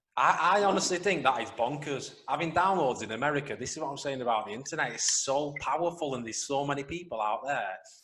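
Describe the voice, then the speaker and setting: Very fast speech from a man with a fairly high pitch and ordinary pitch variation, over noticeable background noise. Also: hardly any pauses. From near Wigan, northern England. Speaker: podcast co-host. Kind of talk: casual chat.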